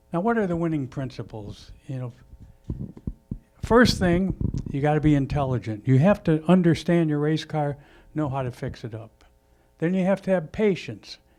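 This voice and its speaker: Speaking at a moderate pace with an American accent, a man has a fairly high voice with a dark, mellow tone and ordinary pitch variation. The recording is very clean against a silent background. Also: long, frequent pauses. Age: 70s. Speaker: racing veteran. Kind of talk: speech at a launch event. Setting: live event with audience.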